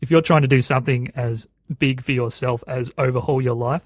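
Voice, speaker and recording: With an Australian accent, a man talks at a fairly quick pace and medium pitch, somewhat breathy and monotone, in a dry, close sound with no echo. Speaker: podcast host. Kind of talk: interview.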